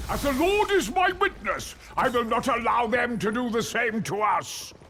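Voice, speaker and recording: Using a put-on character voice, a man projects loudly at an extremely high pitch with very wide pitch swings. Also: moderate pace. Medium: video game. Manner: clipped, proper.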